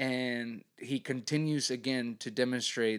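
In a very clean recording with a silent background, a man with a plain, everyday voice speaks at medium pitch with fairly even intonation. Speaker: soccer podcast host. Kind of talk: casual chat.

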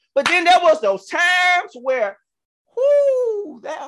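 A man's animated, bright and sharp voice with very wide pitch swings and a Southern US accent. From Georgia, US South. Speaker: podcast host and pastor. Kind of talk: religious talk show, casual preaching. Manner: animated, excitable.

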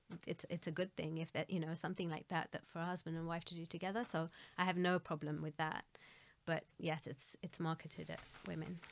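A fairly quick, monotone, flat delivery from a woman with a fairly low pitch. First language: Gujarati. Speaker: Arabic teacher and translator. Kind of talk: interview.

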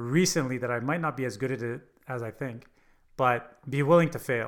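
A man with a normal speaking voice at medium pitch, ordinary pitch variation, a fairly quick pace, and a very clean recording with a silent background. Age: 40s. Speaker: entrepreneur and business coach. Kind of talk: casual interview.

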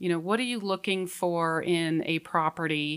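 A woman with an American accent, a plain, everyday voice, fairly low pitch, fairly even intonation and a moderate pace. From Colorado. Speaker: mortgage loan officer. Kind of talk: casual interview. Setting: studio.

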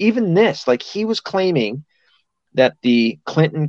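A man speaks in a normal speaking voice with lively intonation at a fairly slow pace. The sound is dry and close with no echo, over a quiet background. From US South. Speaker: podcast host. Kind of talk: casual chat.

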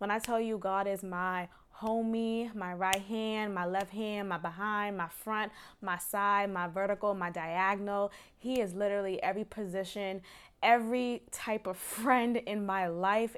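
With fairly even intonation and a medium pitch, a woman uses a normal speaking voice at a fairly slow pace in a very clean recording with a silent background. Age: 20s. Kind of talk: devotional podcast monologue, testimony. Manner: candid, reflective, laughs often.

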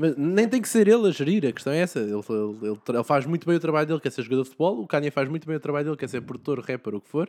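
On a very clean recording with a silent background, a man talks very fast at a fairly high pitch. His pitch swings very widely, and the sound is dry and close with no echo. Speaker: podcast host. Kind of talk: casual chat.

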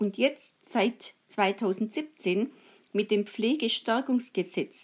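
Speaking very slowly, a woman uses lively intonation at a fairly high pitch. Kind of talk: personal testimony.

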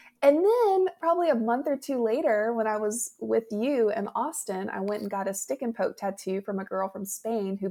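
A woman with a strong Southern US accent, fairly high pitch, a moderate pace and hardly any pauses, over noticeable background noise. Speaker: memoir author. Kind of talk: casual chat.

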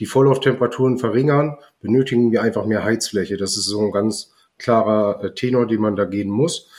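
In a very clean recording with a silent background, a man with an unremarkable speaking voice talks fairly quickly at medium pitch with fairly even intonation. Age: 30s. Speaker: heating installer, business owner. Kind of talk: casual interview.

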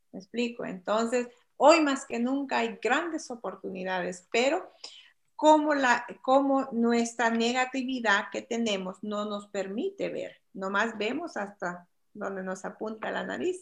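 Against a quiet background, a woman with a plain, everyday voice speaks at a fairly slow pace, her fairly high pitch carried by lively intonation. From El Salvador. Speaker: guest, immigrant woman sharing life story. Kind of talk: podcast interview. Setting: remote video call.

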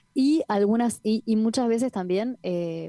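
Recorded dry and close with no echo, a woman speaks at a fairly slow pace in a dark, mellow tone, her pitch varying in an ordinary way. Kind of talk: interview conversation. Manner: hesitant, many fillers.

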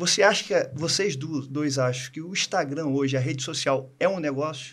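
At a fairly slow pace, a man uses a normal speaking voice with a fairly high pitch. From Brazil (small town). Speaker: dentist, co-host. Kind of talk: casual chat.

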